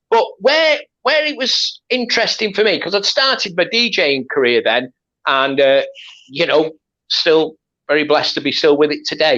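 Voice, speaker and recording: Raising and projecting his voice, a man speaks at a moderate pace with a high pitch, very wide pitch swings, and a bright, sharp tone. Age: 60s. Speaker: podcast host and DJ. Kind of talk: casual chat.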